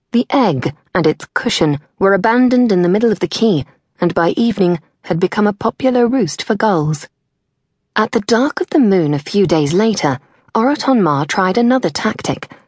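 In a British accent, a woman uses a theatrical, menacing tone at medium pitch, swinging very widely up and down at a moderate pace. Her loudness stays very even, and the sound is dry and close with no echo. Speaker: audiobook narrator. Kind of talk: audiobook narration of a fantasy story. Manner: dramatic, storytelling delivery with wry humor; brisk, theatrical pacing with a tense, menacing tone.

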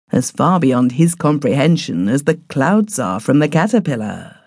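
Dramatic tone from a woman with a very deep, low pitch, vocal fry, and very wide pitch swings. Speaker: audiobook narrator. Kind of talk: scripted narration, reading a classic story aloud in first person. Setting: studio recording. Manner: dramatic, hushed and suspenseful, building eerie atmosphere; measured, formal and unhurried, with a refined period-story tone.

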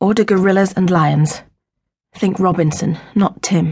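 A woman speaks at medium pitch. Her voice is somewhat breathy. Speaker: audiobook narrator. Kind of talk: audiobook narration, abridged fiction reading; dramatic narration. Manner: dramatic, expressive, shifting between tender and sharp; measured, storytelling pace.

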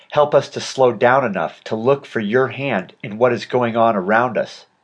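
Against a quiet background, a man with a plain, everyday voice speaks at a medium pitch and a moderate pace. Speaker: audiobook narrator. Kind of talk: audiobook narration with a spoken prayer.

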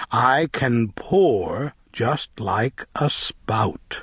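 A man speaks with lively intonation and a somewhat breathy voice, recorded dry and close with no echo. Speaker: audiobook narrator. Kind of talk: children's read-along storybook reading aloud. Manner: animated, sing-song rhythmic, bouncy; slow, clear, coaxing pace for young listeners.

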